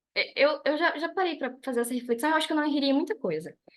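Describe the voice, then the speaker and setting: A woman's high-pitched voice at a very fast pace. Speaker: business trainer. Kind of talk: online lecture. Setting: video call.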